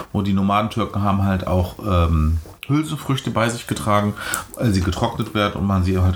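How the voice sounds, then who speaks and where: A man's fairly low voice at a moderate pace, with ordinary pitch variation over noticeable background noise. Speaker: podcast host. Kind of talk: casual chat. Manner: talkative.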